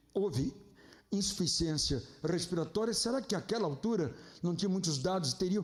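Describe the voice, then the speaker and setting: At a fairly quick pace, a man talks in a high voice with lively intonation. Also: long, frequent pauses, very even loudness. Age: 60s. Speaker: pastor. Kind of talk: sermon. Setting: church.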